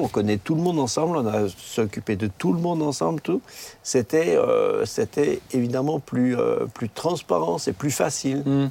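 The voice moves through very wide pitch swings. There is noticeable background noise. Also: man. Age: old. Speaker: retired pastor. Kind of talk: casual chat.

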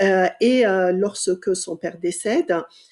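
A woman talks at a very slow pace. Her voice is medium-pitched with a dark, mellow tone and ordinary pitch variation. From Iran. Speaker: sociology professor. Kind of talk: interview. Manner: halting.

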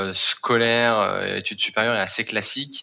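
A man with an unremarkable speaking voice, a medium pitch and a fairly slow pace. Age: 20s. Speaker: climate impact manager at a startup. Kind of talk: interview.

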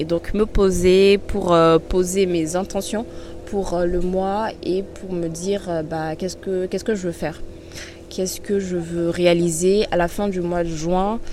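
Very slowly and in a monotone, flat intonation, a woman speaks at a medium pitch against noticeable background noise. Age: 20s. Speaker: podcast host. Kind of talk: personal monologue. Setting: outdoors by a river. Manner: hesitant, many fillers.

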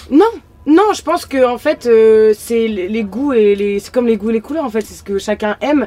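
Noticeable background noise sits under a woman's fairly high voice. She speaks at a moderate pace with ordinary pitch variation. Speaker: influencer. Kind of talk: casual chat. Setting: outdoors in a van at a party.

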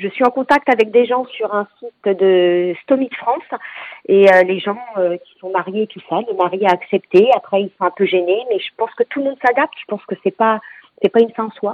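A woman talks in an unremarkable speaking voice at medium pitch, with ordinary pitch variation and a moderate pace. Her loudness swings widely. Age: 40s. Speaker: cancer patient. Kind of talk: testimony.

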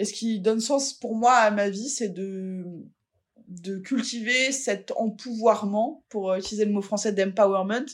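A woman speaks in an ordinary speaking voice. Her pitch is fairly high and her intonation fairly even. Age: 40s. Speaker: fat-acceptance activist. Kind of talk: interview.

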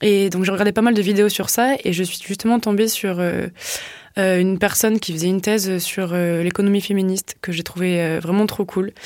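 A woman with an ordinary speaking voice talks at a moderate pace. Her medium-pitched intonation stays fairly even. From southwest France, Tarn. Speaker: social enterprise co-founder. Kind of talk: casual interview. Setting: studio.

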